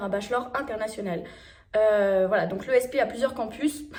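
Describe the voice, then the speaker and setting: Here a woman is speaking with lively intonation. Her pace is moderate. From France. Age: 20s. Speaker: travel vlogger. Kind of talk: casual talk to camera.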